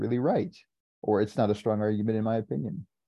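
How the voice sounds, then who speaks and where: In an American accent, a man with a fairly low pitch talks at a fairly quick pace in a normal speaking voice. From San Diego, California. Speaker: software developer. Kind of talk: casual chat.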